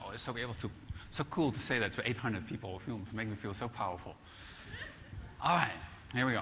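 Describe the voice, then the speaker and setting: A man talks very fast at a medium pitch with ordinary pitch variation, leaving long, frequent pauses. Room echo is audible, and background noise is noticeable. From Netherlands. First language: Dutch. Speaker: keynote speaker, author on management. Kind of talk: conference keynote. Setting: stage with audience. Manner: halting, many fillers.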